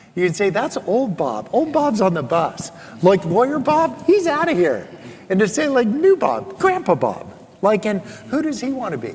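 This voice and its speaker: The speaker has an animated tone with very wide pitch swings. Noticeable background noise is present. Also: man, high pitch for a man, moderate pace. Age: 60s. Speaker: author and former lawyer. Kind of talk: interview.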